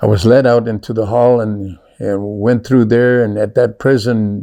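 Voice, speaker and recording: A man's dark, mellow tone carries his speech at a moderate pace. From South Texas. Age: 70s. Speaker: storyteller sharing life story. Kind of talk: personal testimony. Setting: recorded interview on camera.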